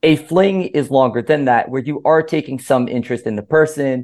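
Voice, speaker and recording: Over a quiet background, a man with an American accent talks at a moderate pace in a plain, everyday voice. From Miami, Florida (Cuban American). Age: 20s. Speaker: author and philosopher. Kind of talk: interview podcast.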